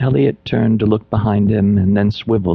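The reading voice here sounds natural.

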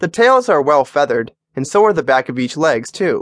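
Against a quiet background, a man with a plain, everyday voice speaks at a fairly quick pace with ordinary pitch variation, the sound dry and close with no echo. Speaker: audiobook narrator. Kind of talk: audiobook narration, reading a how-to book aloud. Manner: formal; even and instructive.

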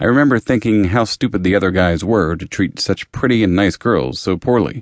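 A man speaks at a moderate pace in a fairly low pitch, with ordinary pitch variation and a plain, everyday voice. The sound is dry and close with no echo, over a quiet background. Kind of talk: audiobook reading, first-person memoir narration. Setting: studio. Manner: steady, even, confessional.

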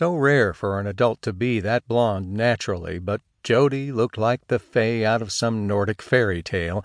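The background stays quiet. The plain reading aloud carries ordinary pitch variation.

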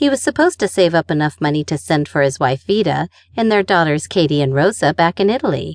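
A woman talks at a very fast clip with vocal fry, a warm tone and lively intonation, her loudness very even, the sound dry and close with no echo over a quiet background. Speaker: audiobook narrator. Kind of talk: audiobook narration of a memoir, read aloud in first person. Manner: storytelling, wry and conversational, warm with a dry humor.

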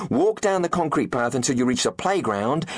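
Over noticeable background noise, a man speaks with a British accent in a playful, animated tone. His pitch swings very widely. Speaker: audiobook narrator. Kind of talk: audiobook narration, reading a character's letter aloud. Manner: playful, animated, conspiratorial; exuberant, theatrical, relishing invented words.

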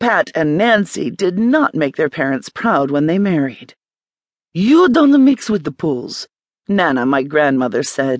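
Dramatic in tone, the voice moves at a fairly slow pace with very wide pitch swings, in a dry, close sound with no echo. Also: woman, very deep, low pitch for a woman. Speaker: audiobook narrator. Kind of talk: audiobook narration, first-person story reading. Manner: dramatic, storytelling tone.

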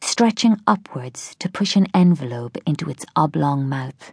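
Speaking at a very slow pace with an Irish accent, a woman sounds somewhat breathy. Her pitch makes very wide swings over a quiet background. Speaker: audiobook narrator. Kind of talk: dramatic first-person audiobook narration of a thriller. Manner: slow, hushed, mournful and wistful; measured, expressive, reflective with grief.

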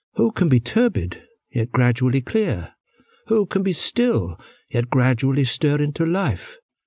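A man's fairly high, somewhat breathy voice with very wide pitch swings and very even loudness, at a fairly slow pace, in a dry, close sound with no echo over a quiet background. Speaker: audiobook narrator. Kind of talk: audiobook reading of translated philosophical verse, scripted. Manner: slow, measured, calm; formal, contemplative, even-toned.

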